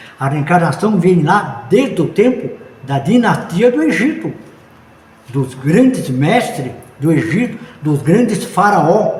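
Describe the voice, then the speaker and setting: Through audible room echo and noticeable background noise, a man speaks at a very slow pace with very wide pitch swings. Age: 80s+. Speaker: spiritist teacher. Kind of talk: interview. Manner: animated.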